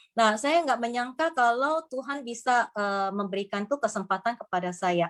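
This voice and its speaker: A woman speaks at a moderate pace in a fairly high voice with lively intonation. The recording is very clean, with a silent background. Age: 50s. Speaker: business presenter. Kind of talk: sales pitch. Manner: halting.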